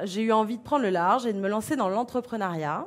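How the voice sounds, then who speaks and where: A woman with a fairly high pitch and lively intonation. She has an ordinary speaking voice. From France, Beaujolais. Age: 40s. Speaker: association founder. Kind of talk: conference talk.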